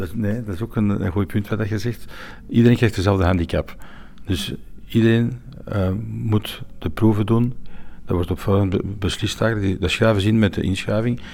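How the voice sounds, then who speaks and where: Here a man speaks at a moderate pace in a fairly low pitch. His intonation stays fairly even. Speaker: sommelier and event organiser. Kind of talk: interview. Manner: halting.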